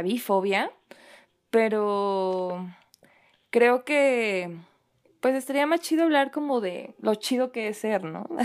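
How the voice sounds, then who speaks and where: A woman's fairly high voice at a very slow pace, with very wide pitch swings, on a very clean recording with a silent background. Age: 20s. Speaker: writer and poet. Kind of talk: casual chat.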